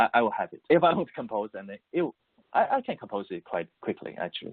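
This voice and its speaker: Someone with a Mandarin accent talks at a very fast pace, with big swings in loudness. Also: man. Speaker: musician, composer and voice-over artist. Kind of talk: interview. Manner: halting, many repetitions and fillers.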